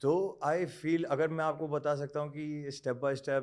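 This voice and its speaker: Here a man has a plain, everyday voice, pitched fairly high, with fairly even intonation. The recording is very clean, with a silent background. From Bangalore, India (Rajasthani family). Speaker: model and actor. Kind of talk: interview. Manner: Hindi-English code-switching.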